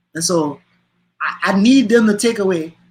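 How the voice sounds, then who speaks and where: A man's high-pitched, passionate voice with an American accent, a bright, sharp tone and ordinary pitch variation. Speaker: comedian and motivational speaker. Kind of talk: interview answer. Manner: passionate, emphatic.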